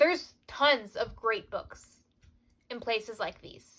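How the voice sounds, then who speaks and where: This woman has a high-pitched voice. She speaks at a very slow pace. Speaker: book youtuber. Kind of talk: casual vlog chat. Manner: loud.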